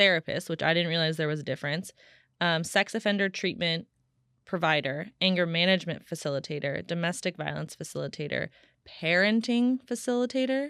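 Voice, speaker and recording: This woman has an unremarkable speaking voice with fairly low pitch, talking at a fairly quick pace on a very clean recording with a silent background. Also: lively intonation. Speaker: podcast host. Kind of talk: podcast conversation.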